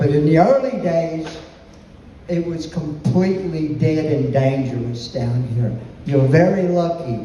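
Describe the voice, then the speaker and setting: Speaking at a fairly slow pace, a man with an American accent and a fairly high pitch shows ordinary pitch variation, with audible room echo and noticeable background noise. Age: 70s. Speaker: music venue owner, war veteran. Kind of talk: speech to audience. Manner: animated.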